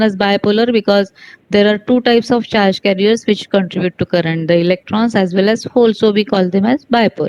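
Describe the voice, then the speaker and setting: Dry and close with no echo, a woman's voice comes at a fairly quick pace, medium in pitch with ordinary pitch variation. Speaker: physics teacher. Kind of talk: online lecture. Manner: fast.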